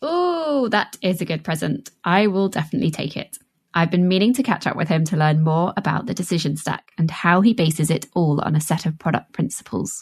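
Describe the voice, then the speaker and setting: At a fairly quick pace and with hardly any pauses, the somewhat breathy voice shows ordinary pitch variation. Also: woman, fairly low pitch for a woman. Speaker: podcast co-host. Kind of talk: podcast interview.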